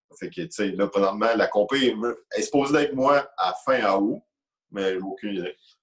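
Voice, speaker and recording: With a Quebec accent, a man speaks using lively intonation. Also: medium pitch for a man, moderate pace. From Quebec, Lac-Mégantic. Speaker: amateur powerlifter. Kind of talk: casual interview.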